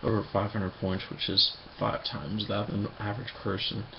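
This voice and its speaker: At a moderate pace, a man is whispering amid noticeable background noise. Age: 20s. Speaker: vlogger. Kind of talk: personal video diary. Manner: halting.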